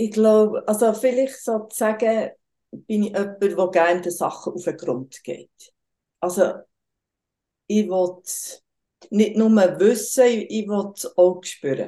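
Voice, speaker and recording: In a Bernese accent, a woman with a medium pitch and a dark, mellow tone talks at a very slow pace, leaving long, frequent pauses, her loudness swinging widely while her pitch varies in an ordinary way. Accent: Bernese Swiss German dialect. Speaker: tantra massage practitioner. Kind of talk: casual interview.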